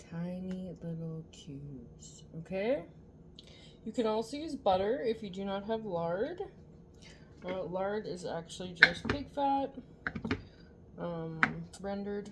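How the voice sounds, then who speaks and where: A soft-spoken woman at medium pitch, very slow, with long, frequent pauses, lively intonation and big swings in loudness, over noticeable background noise. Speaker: home cooking vlogger. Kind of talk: tutorial. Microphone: no external mic, viewers found it too quiet.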